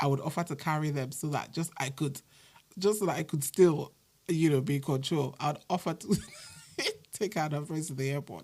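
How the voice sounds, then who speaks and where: A woman with a very deep, low voice speaks somewhat breathily in a dark, mellow tone. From Nigeria. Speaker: podcaster. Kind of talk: casual podcast monologue.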